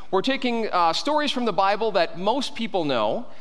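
Spoken at a moderate pace with lively intonation. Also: man. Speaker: pastor. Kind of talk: sermon. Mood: light, joking. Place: church.

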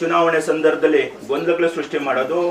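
There is noticeable background noise behind a man speaking with a high pitch. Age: 50s. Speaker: local politician and businessman. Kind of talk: political speech.

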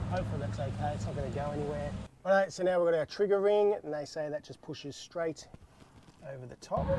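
A very fast voice with an Australian accent and very wide pitch swings, dry with no echo, over light background noise. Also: man, fairly high pitch for a man. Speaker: car DIY video host; DIY vehicle channel host. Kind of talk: tutorial. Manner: casual, relaxed.

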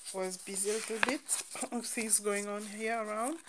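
Noticeable noise fills the background. A woman does the talking. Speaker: craft vlogger. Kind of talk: casual chat. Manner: animated.

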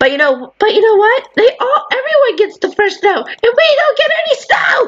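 In a put-on character voice, a woman whines at a fairly slow pace, her extremely high pitch making very wide swings. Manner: sad, whiny.

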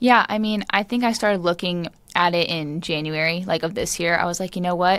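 In an American accent, a woman uses a plain, everyday voice, fairly low in pitch with fairly even intonation. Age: 20s. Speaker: professional footballer. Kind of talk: interview. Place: empty room. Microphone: studio mic.

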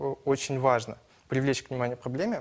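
A man is talking. His pace is fairly quick. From Ussuriysk, Primorsky Krai; Primorsky Krai. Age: 20s. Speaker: student, election candidate; election candidate. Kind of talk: political debate. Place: studio. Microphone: lapel.

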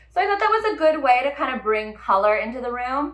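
This woman has a high-pitched voice and an American accent. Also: quiet background. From California. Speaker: interior designer and vlogger. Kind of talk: casual vlog recap. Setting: home kitchen. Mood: upbeat, animated. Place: kitchen.

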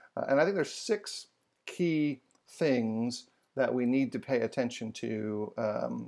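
A man talks at a fairly slow pace with a quiet background. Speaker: bible study host. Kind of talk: lecture. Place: home room.

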